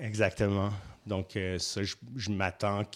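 A normal speaking voice from a man at a fairly low pitch and moderate pace, in a very clean recording with a silent background. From Quebec, Saint-Hyacinthe. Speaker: festival programmer. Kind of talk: interview.

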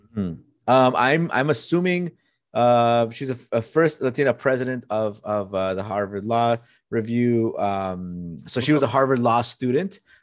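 With a plain, everyday voice, the speaker moves at a moderate pace and uses lively intonation. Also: man, medium pitch for a man, quiet background. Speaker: podcast co-host. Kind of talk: casual chat.

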